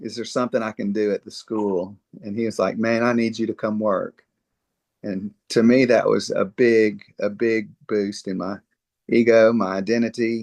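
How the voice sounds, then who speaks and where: A man with a Mississippi accent, medium in pitch, moderate in pace, with monotone, flat intonation. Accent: Southern US (Mississippi). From US South, Mississippi. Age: 60s. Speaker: dentist. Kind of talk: interview conversation. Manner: halting, many fillers.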